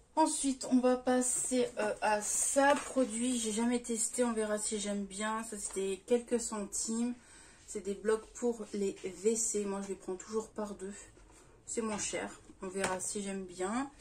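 A woman speaking at a very slow pace, with fairly even intonation and light background noise. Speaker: haul vlogger. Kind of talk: casual vlog chat. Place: home room. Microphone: phone near.

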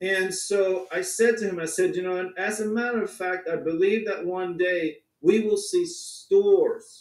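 At a fairly slow pace, a man talks with audible room echo. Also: hardly any pauses, quiet background. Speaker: crypto company founder. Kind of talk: online presentation. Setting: video call. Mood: enthusiastic, storytelling. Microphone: video call.

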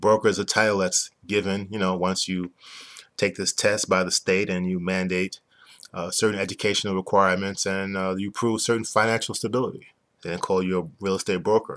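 Against a quiet background, a man with a New York accent speaks fairly quickly in a fairly low, monotone, flat voice. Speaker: business owner explaining a used car dealer licensing program. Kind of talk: explanatory sales talk. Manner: fast talker. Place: home room. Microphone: webcam.

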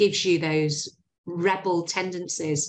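In a Yorkshire accent, a woman speaks at a fairly slow pace against a quiet background. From Yorkshire, northern England. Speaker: recruitment agency founder; interview guest. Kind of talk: interview. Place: home room. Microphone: video call.

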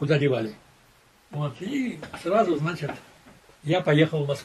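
A man speaks in a fairly high pitch with a somewhat breathy quality. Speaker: war veteran and former intelligence officer. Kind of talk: testimony. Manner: conversational, rambling, halting. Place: home room.

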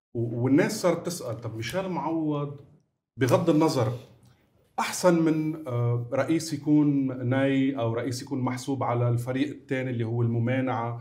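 At a fairly slow pace, a man speaks in a medium pitch with ordinary pitch variation. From Lebanon, north (Bsharri); Lebanon. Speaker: talk show host. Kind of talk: talk show interviewing. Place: studio. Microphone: lapel.

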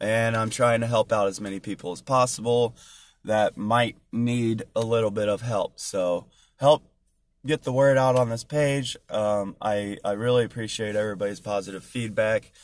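Dry with no echo, a man's voice moves at a moderate pace with fairly even intonation. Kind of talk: casual vlog chat. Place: car. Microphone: phone near.

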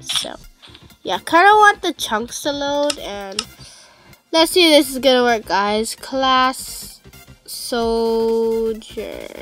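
A high-pitched woman speaks at a very slow pace with lively intonation and long, frequent pauses. Music plays in the background. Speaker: gamer. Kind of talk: casual gameplay commentary. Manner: loud, yelling at times.

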